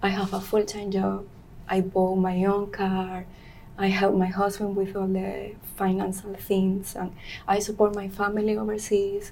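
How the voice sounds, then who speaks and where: In a room with audible echo, a woman with a Venezuelan accent talks at a fairly slow pace and medium pitch, her intonation flat and monotone. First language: Spanish. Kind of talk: interview. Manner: halting.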